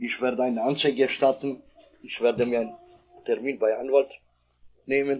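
Speaking with monotone, flat intonation, a man leaves long, frequent pauses. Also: medium pitch for a man, moderate pace. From Kosovo. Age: 40s. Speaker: victim of a police dog attack. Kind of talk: personal testimony. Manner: halting, non-native phrasing.

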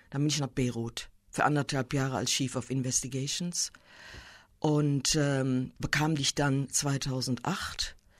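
A woman talks at a very slow pace in a very deep, low voice with fairly even intonation. The recording is very clean, with a silent background. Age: 60s. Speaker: war crimes prosecutor. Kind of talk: interview.

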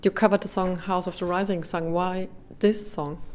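A woman with a German accent speaks at medium pitch and a moderate pace. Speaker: radio interviewer. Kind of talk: interview. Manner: halting.

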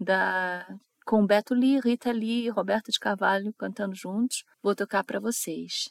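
At a fairly slow pace, a woman with an unremarkable speaking voice talks at a fairly high pitch, her intonation lively. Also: dry, close sound with no echo. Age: 50s. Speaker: radio host. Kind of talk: radio music show presenting.

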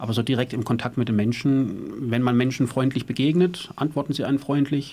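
This man has an ordinary speaking voice, pitched medium, with fairly even intonation as he moves at a fairly quick pace. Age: 50s. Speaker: former prisoner, activist. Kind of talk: studio interview. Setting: studio.

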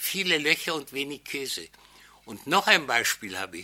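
This man has a fairly high pitch, a bright, sharp tone and vocal fry. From Czechoslovakia, Sudetenland (Neutitschein, Moravia). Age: 80s. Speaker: Holocaust survivor, witness speaker. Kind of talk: lecture-style testimony to an audience. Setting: lecture hall with audience.

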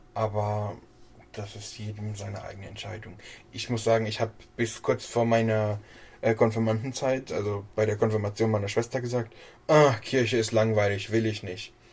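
Somewhat breathy, a man speaks at a moderate pace and medium pitch with fairly even intonation, big swings in loudness, and long, frequent pauses. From Hesse, Germany. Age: 20s. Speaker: church council member. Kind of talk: interview.

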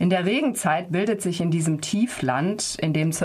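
Noticeable background noise accompanies a woman speaking at a fairly low pitch and a moderate pace with ordinary pitch variation. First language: German. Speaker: radio interviewer. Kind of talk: radio interview.

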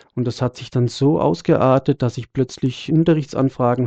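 Moderate pace, medium pitch and ordinary pitch variation from a man with an unremarkable speaking voice. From Germany, Freiburg. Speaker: singer and jazz guitarist. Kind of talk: interview.

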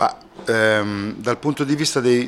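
With lively intonation, a man is heard against noticeable background noise. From Italy. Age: 50s. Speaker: singer-songwriter. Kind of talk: interview. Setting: backstage after a concert.

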